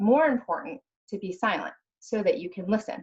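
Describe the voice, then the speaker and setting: A woman is speaking. Ordinary pitch variation marks her delivery. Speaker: crisis leadership panelist. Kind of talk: panel discussion. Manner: fast.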